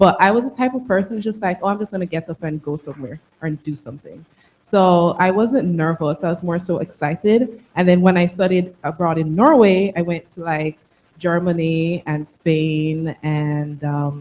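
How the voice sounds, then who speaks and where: Speaking at a moderate pace, a woman with a Jamaican accent has a fairly low pitch for a woman. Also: ordinary pitch variation. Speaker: tech alumna panelist. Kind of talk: panel discussion.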